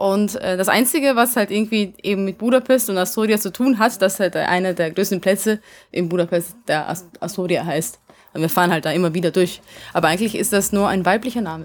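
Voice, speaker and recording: Speaking at a fairly quick pace, a woman uses a medium pitch with ordinary pitch variation. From Vienna, Austria, then Hungary. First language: Hungarian (speaking German). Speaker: rock band singer. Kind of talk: interview. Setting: backstage at concert venue.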